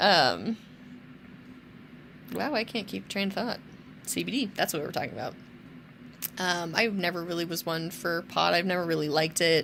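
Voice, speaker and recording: On a very clean recording with a silent background, a woman speaks at a fairly low pitch with vocal fry. Her pitch varies in an ordinary way. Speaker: vlogger with cancer. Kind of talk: casual video diary.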